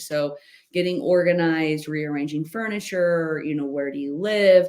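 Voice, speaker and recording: A loud woman's voice at a fairly low pitch, with ordinary pitch variation. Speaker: life coach hosting a masterclass. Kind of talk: webinar presentation. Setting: home office, online session with screen sharing.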